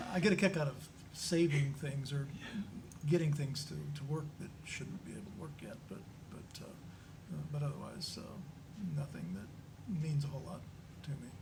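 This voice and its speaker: A man with a fairly high pitch talks at a moderate pace with lively intonation, long, frequent pauses and big swings in loudness, amid audible room echo and noticeable background noise. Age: 70s. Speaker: panelist at church discussion on aging. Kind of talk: panel discussion. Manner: halting, many fillers and repetitions.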